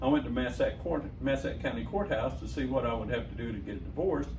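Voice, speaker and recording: The pace is fairly quick. There is audible room echo along with noticeable background noise. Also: man. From Southern Illinois. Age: 60s. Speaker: radio host. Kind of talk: interview storytelling.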